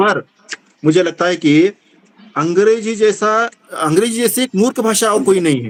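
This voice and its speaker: Spoken with a Kannada accent and ordinary pitch variation, the speech has long, frequent pauses. The sound is dry and close, with no echo. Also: man, high pitch for a man. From Karnataka, India. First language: Kannada (speaking Hindi). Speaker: Hindi teacher / literary club speaker. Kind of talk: speech at literary meeting (video call). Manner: halting, with fillers.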